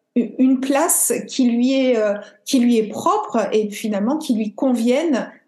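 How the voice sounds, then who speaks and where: With audible room echo, a woman speaks at a very slow pace in a high voice with a dark, mellow tone. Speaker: podcast host and yoga teacher. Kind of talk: interview conversation.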